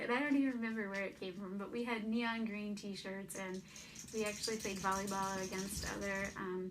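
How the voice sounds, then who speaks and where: Against noticeable background noise and audible room echo, a woman talks at a fairly quick pace with fairly even intonation. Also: medium pitch for a woman. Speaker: vlogger. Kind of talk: personal testimony. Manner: stutters; casual, hesitant.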